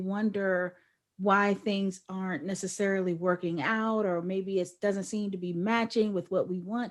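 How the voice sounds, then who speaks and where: An unremarkable speaking voice, a woman talks fairly slowly at a medium pitch. Her intonation stays fairly even. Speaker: podcast interviewer. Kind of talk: interview host talk.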